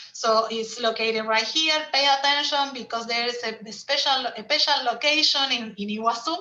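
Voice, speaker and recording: At a fairly slow pace, a woman talks in a high pitch with fairly even intonation. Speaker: tour operator presenter. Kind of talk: webinar presentation. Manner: halting.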